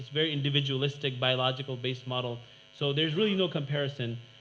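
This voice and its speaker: Speaking very fast with fairly even intonation, a man with a fairly high pitch is heard with audible room echo. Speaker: academic panel speaker. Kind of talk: conference presentation.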